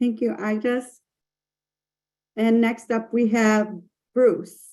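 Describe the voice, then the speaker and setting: A woman with an American accent speaks at a fairly high pitch. The recording is very clean, with a silent background. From US Midwest, Michigan. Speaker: webinar host. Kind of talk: casual chat.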